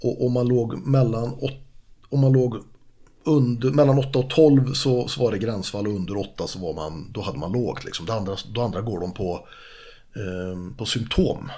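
A man speaks at a medium pitch and moderate pace in a dark, mellow tone with lively intonation. Audible room echo surrounds the voice. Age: 50s. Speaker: martial artist and fishing guide. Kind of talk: casual chat.

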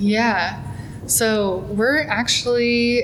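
A woman with an American accent speaks with ordinary pitch variation, her voice carrying audible room echo and noticeable background noise. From US Midwest, small town in eastern Nebraska. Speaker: museum collections and exhibitions manager. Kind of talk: casual interview. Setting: museum lobby.

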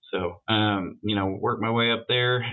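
A man in a plain, everyday voice talks at medium pitch and a moderate pace with fairly even intonation. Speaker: auto shop vice president. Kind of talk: interview, casual conversation.

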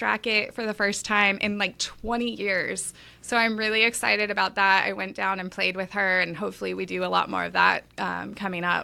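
Speaking at a fairly quick pace with hardly any pauses, a woman with an American accent has a medium pitch and a bright, sharp tone in a very clean recording with a silent background. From Los Angeles, California. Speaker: tennis gear play-tester and podcaster. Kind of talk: casual interview chat. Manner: upbeat, energetic, positive; scattered, talkative.

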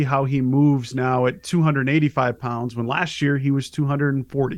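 With a plain, everyday voice, a man talks at a fairly quick pace and a fairly high pitch. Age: 30s. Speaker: sports recruiting reporter. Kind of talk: casual interview.

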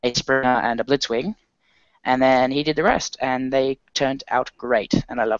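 A man with an Australian accent talks at a moderate pace and medium pitch. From Australia, Sydney. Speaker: podcast co-host. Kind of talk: casual chat.

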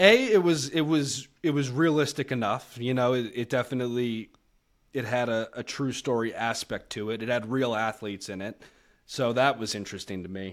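Here a man speaks in an American accent at medium pitch and a moderate pace. His pitch varies in an ordinary way on a very clean recording with a silent background. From Massachusetts, south of Boston near Cape Cod. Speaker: sports betting show producer. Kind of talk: casual interview chat. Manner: laid-back.

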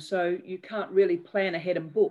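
A woman of medium pitch talks at a moderate pace with an Australian accent. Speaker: bereaved mother and charity founder. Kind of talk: interview testimony.

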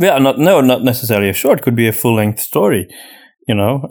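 A man speaks at a fairly quick pace with a medium pitch, a slightly mellow tone and lively intonation.

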